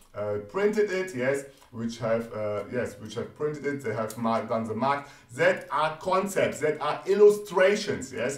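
A man at a fairly slow pace, lively intonation, noticeable background noise. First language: not English. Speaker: trading educator. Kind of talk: tutorial. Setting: screen-share video on live chart. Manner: repeats 'yes' often, explanatory.

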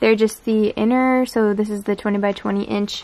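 A woman speaks at a moderate pace with a fairly high pitch and ordinary pitch variation. Her tone is slightly mellow.

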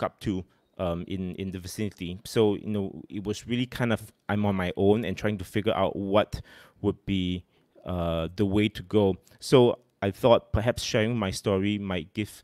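At a moderate pace, a man speaks at a fairly low pitch against a quiet background, the sound dry with no echo. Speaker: host of music talk series. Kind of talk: casual livestream talk. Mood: a bit nervous, friendly. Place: home room. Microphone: studio mic.

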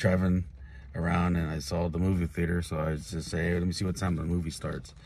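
Fairly even intonation holds across delivery at a very fast pace. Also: man, dry sound with no echo. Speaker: wrestling vlogger. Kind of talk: casual vlog chat. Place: car. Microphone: phone near.

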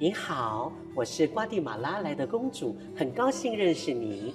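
Over clear background music, a man uses a breathy put-on character voice at a fairly high pitch and moderate pace. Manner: refined, graceful.

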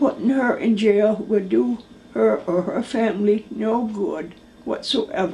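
A woman talks at a fairly slow pace with a fairly high pitch. Noticeable background noise is present. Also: ordinary pitch variation. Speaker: mother of a jailed woman, former correctional officer. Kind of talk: interview testimony. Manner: reading aloud a letter.

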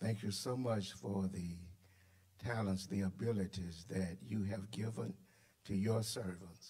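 A man talks at a fairly slow pace in a fairly low, somewhat breathy voice with a dark, mellow tone. His pitch varies in an ordinary way against a quiet background. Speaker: preacher. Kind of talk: sermon in full flow, call-and-response. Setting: church. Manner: animated, emphatic, repetitive. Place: church. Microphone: podium.

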